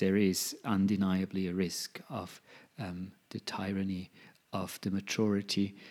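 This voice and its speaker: The speech comes at a very slow pace. The recording is very clean, with a silent background. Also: man. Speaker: law researcher. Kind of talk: interview. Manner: halting.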